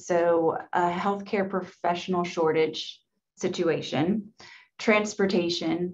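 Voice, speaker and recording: The woman's voice is fairly low in pitch, with fairly even intonation. She talks at a very slow pace. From Mississippi. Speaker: public health director; panelist. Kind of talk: panel webinar discussion. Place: office. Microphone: webcam.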